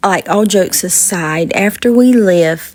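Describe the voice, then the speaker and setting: A woman speaks very slowly in a Southern accent. Her pitch sits in the medium range with ordinary variation. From US South. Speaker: podcast host. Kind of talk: vlog narration.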